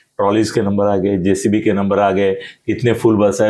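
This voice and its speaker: In a room with audible echo, a man talks at a moderate pace with a fairly low pitch, a dark, mellow tone and monotone, flat intonation. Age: 70s. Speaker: political analyst. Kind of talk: political interview.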